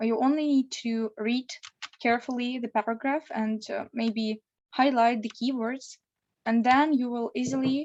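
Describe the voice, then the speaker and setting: Fairly slow, fairly even speech from a woman pitched high. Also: dry, close sound with no echo. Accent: Russian. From Russia. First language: Russian. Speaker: law student preparing for exam. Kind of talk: online interview. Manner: hesitant.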